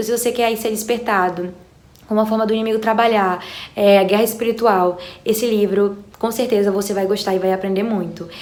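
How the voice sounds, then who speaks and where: A woman speaks fairly quickly at a fairly high pitch, her intonation monotone and flat. Background noise is noticeable, and the room echo is audible. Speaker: book youtuber. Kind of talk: book recommendation vlog.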